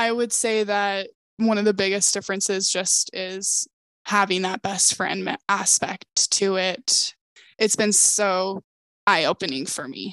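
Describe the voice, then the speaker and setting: On a dry, close recording with no echo and a quiet background, a woman with an ordinary speaking voice talks at medium pitch, a fairly slow pace and fairly even intonation. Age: 20s. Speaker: optician. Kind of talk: casual chat.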